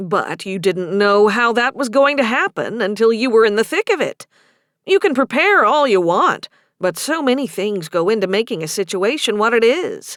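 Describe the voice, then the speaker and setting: In a put-on character voice, a woman speaks at a moderate pace with fairly high pitch. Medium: read story. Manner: warm, gently teasing.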